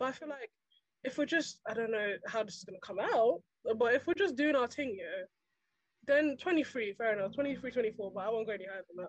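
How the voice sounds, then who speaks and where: A plain, everyday voice moves at a fairly quick pace, with lively intonation and big swings in loudness. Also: woman, fairly high pitch for a woman. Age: young. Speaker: podcast guest. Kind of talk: casual chat.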